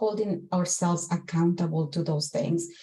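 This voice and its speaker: Using a Spanish accent, a woman talks at a moderate pace with fairly even intonation. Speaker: corporate executive, panelist. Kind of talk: panel discussion.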